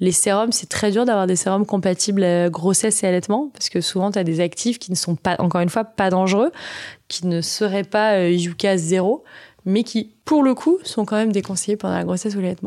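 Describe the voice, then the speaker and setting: A woman speaks at a fairly quick pace in a dark, mellow tone. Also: medium pitch for a woman, ordinary pitch variation. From Auvergne, France (Vichy). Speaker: entrepreneur, founder of a baby products company. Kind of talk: interview conversation. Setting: studio, host's offices.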